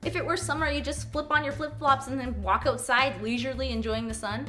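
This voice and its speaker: A woman with a Canadian accent at a fairly quick pace, with music in the background. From Canada. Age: young. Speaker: comedy YouTuber. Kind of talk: comedic rant to camera.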